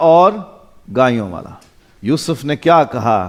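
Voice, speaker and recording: A man's plain, everyday voice with lively intonation. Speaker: pastor. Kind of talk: sermon.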